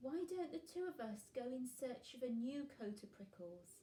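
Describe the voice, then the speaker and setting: Using a put-on character voice, a woman speaks at a moderate pace, croaky and high-pitched. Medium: read story. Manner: gentle, earnest.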